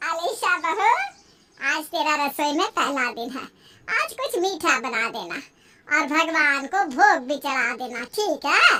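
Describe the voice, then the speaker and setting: In a cartoonish character voice, a woman speaks high in pitch at a fairly slow pace, swinging very widely in pitch. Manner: bossy, homely.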